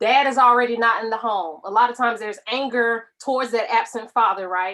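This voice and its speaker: A normal speaking voice from a woman, fairly high in pitch, fairly quick, with ordinary pitch variation. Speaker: spoken word poet; medical professional. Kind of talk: casual talk to camera explaining a poem.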